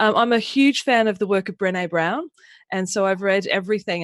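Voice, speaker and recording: A woman with a New Zealand accent at medium pitch and moderate pace, in a very clean recording with a silent background and a dry, close sound with no echo. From New Zealand, Auckland area. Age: 50s. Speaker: business mentor. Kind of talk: interview.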